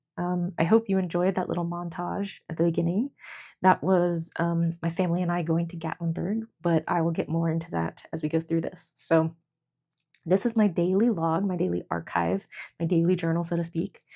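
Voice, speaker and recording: Speaking quietly at a moderate pace, a woman uses a fairly low, dark, mellow voice. Her intonation stays monotone and flat. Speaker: journaling vlogger. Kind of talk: casual chat. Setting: at home, fiance sleeping nearby. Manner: hesitant, lots of fillers.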